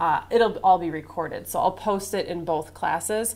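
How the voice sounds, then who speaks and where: Audible room echo surrounds a woman's voice. She speaks at a medium pitch with ordinary pitch variation. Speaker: college instructor. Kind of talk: classroom lecture. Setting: classroom. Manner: loud.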